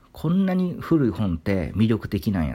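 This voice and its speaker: A man speaks in a dark, mellow, somewhat breathy tone with very wide pitch swings. The recording is very clean, with a silent background. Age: 30s. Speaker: literature YouTuber. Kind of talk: solo monologue talk.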